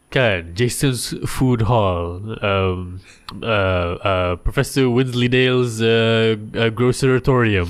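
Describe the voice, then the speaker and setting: Very even in loudness, a man's voice moves at a very slow pace with ordinary pitch variation. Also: medium pitch for a man. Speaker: podcast host. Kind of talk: casual chat.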